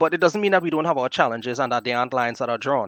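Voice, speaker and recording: A man with a Trinidadian accent speaks very fast at a fairly high pitch. His intonation is lively, and the recording is very clean with a silent background. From Trinidad and Tobago, southwest. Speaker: podcast guest, fellow podcaster. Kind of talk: casual podcast conversation.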